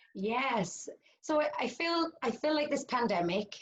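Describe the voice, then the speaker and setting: A woman with a British accent speaks, her pitch swinging very widely. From United Kingdom. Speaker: cognitive hypnotherapist. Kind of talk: interview answer.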